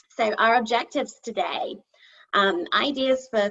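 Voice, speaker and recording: Using ordinary pitch variation, a woman with a British accent speaks at a fairly high pitch. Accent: English (UK). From England, Nottingham (East Midlands). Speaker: kindergarten teacher. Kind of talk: conference presentation. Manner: hesitant, many fillers.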